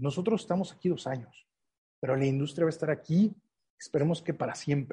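This man has a dark, mellow tone and a fairly high pitch. He speaks at a fairly quick pace with ordinary pitch variation. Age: 40s. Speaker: trade association president. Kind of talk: interview. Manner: halting.

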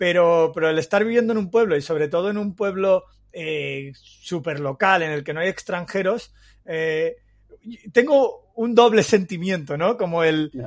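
Speaking at a fairly slow pace in a Castilian accent, a man uses a high pitch with ordinary pitch variation. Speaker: podcast host. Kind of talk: casual chat.

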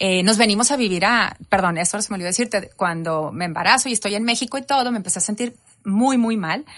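The woman's voice is medium in pitch and varies in an ordinary way. She talks very fast. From Reynosa, Tamaulipas, Mexico. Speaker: educator and resilience speaker. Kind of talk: personal testimony in interview. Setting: studio.

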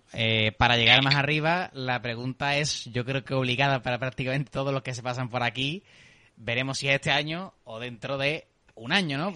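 A man with a southern Spanish accent speaks at a fairly quick pace in a fairly high pitch, his intonation fairly even against a quiet background. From southern Spain. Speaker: podcast host. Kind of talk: casual chat.

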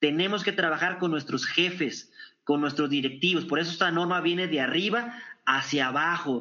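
A man speaks at a moderate pace in a high-pitched, energetic voice with ordinary pitch variation. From northern Mexico (Torreón, Coahuila). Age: 40s. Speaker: business consultant and speaker. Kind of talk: interview.

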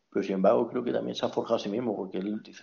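A man is speaking. His pace is very fast. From Spain, moved around; Andalusia. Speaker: friend of the host. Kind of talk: casual chat. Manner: halting, repeats words.

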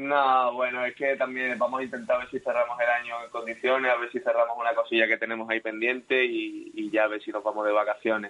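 At a very fast pace and with hardly any pauses, a man speaks in a flat monotone at a medium pitch. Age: 30s. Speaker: footballer. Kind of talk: radio interview.

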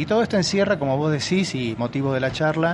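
A man talks at a very fast pace with lively intonation. Noticeable background noise runs underneath. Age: 50s. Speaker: physician and ageing researcher. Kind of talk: interview.

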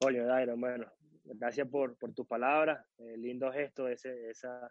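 Flat and monotone, a man talks at a moderate pace. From Venezuela, Caracas. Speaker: footballer, goalkeeper. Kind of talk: interview.

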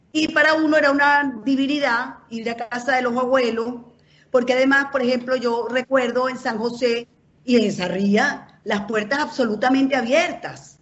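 The woman's intonation stays fairly even. She talks at a moderate pace in a high voice. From Venezuela, Caracas. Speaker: journalist. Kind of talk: casual chat.

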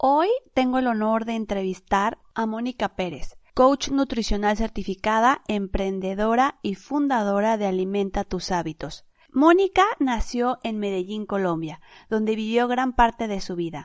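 This woman has an ordinary speaking voice with a fairly high pitch, lively intonation and a fairly slow pace. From Mexico. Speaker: podcast host. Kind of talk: interview.

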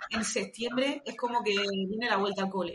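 At a fairly quick pace, a woman speaks in an unremarkable speaking voice, fairly high in pitch with ordinary pitch variation. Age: 30s. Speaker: tax advisor. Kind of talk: podcast interview.

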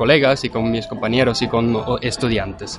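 Over noticeable background noise, a man talks in a flat monotone at a medium pitch. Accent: German. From Austria, Vienna. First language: German (speaking Spanish). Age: 20s. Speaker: marketing consultant and lecturer. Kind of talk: interview. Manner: halting.

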